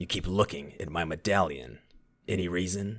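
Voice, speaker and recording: Here is a man doing a put-on character voice. It is raspy and pitched very deep and low. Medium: audio drama. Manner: cocky, sardonic.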